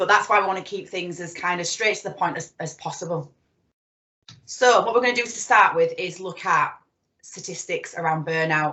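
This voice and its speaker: A woman with a Yorkshire accent at a moderate pace, big swings in loudness, ordinary pitch variation. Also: medium pitch for a woman. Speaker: psychotherapist. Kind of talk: presentation.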